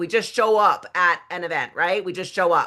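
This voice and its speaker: Fairly quick in pace, a woman's voice comes across bright and sharp in tone. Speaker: network marketing team leader. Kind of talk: online training call. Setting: video call. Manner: energetic.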